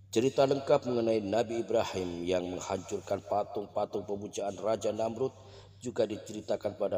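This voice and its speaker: A man speaks at a moderate pace with hardly any pauses, in a fairly low pitch with ordinary variation. His tone is dark and mellow, and somewhat breathy. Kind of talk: religious story narration (prophet stories).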